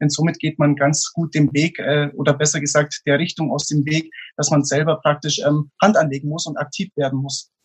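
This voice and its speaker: Somewhat breathy and fairly high-pitched, a man talks at a moderate pace in a monotone, flat intonation with hardly any pauses. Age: 20s. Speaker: motivational speaker. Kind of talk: interview.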